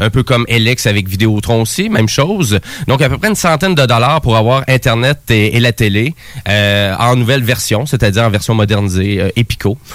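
The speaker has a Quebec accent and talks at a moderate pace, with ordinary pitch variation and very even loudness. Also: man, medium pitch for a man. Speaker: radio host. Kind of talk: radio show chat.

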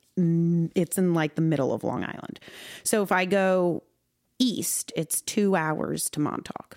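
Over background music, a woman with an American accent talks fairly slowly in an animated tone, the sound dry and close with no echo. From New York. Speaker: country singer-songwriter. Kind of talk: casual chat. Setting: studio.

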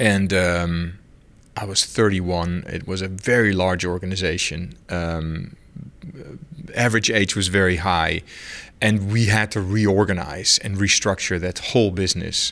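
Very deep and low in pitch, a man with a Dutch accent speaks at a fairly slow pace with fairly even intonation on a very clean recording with a silent background. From Netherlands. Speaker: telecom CEO. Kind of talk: interview. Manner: halting.

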